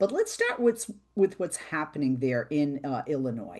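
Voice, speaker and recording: A woman with a Boston accent speaks at a moderate pace with lively intonation. Her voice is very deep and low, with a dark, mellow tone. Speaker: radio talk show host. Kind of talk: interview.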